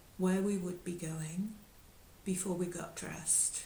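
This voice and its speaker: A woman's medium-pitched voice with fairly even intonation, noticeable background noise and audible room echo. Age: 70s. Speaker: yoga teacher. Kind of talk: talk. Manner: halting.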